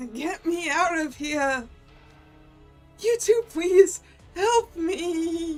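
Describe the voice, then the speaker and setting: Using a put-on character voice with an extremely high pitch, a woman speaks at a very slow pace with long, frequent pauses. Faint music plays in the background. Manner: pleading.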